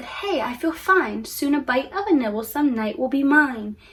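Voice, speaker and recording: A woman speaks at a moderate pace in a high, raised and projected voice. It is a put-on character voice. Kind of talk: bedtime story. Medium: read story.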